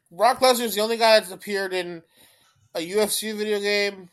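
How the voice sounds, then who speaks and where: The recording is very clean and the background silent. A man talks at a moderate pace. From Canada. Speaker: podcast co-host. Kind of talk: casual chat. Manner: repeats words, stammers at times.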